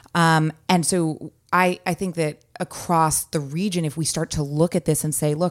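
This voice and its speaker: A woman with a Californian accent speaks in a very deep, low pitch. Her pace is moderate and her intonation fairly even. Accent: Californian American. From San Francisco Bay Area, California. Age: 30s. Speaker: political candidate. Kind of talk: interview. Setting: press room.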